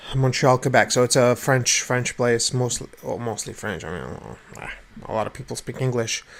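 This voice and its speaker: A man's medium-pitched voice at a moderate pace, with fairly even intonation and big swings in loudness. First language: not English. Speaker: vlogger. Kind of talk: casual rant to camera. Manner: halting, many repetitions.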